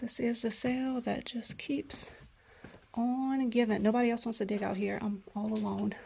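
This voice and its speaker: Noticeable background noise runs under this voice. The speaker keeps a moderate pace with fairly even intonation. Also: woman, fairly high pitch for a woman. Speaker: thrift vlogger. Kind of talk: casual vlog narration. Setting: estate sale. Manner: whispering at times.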